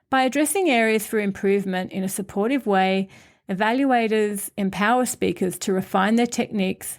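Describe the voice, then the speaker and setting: In a very clean recording with a silent background, a woman with a normal speaking voice talks at a medium pitch with ordinary pitch variation. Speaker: podcast host. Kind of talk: scripted podcast monologue.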